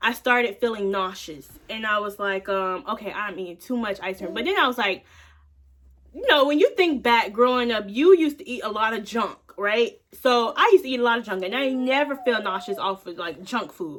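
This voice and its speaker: A woman's fairly high voice at a fairly quick pace, with lively intonation and big swings in loudness. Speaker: vlogger. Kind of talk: casual chat. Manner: fast.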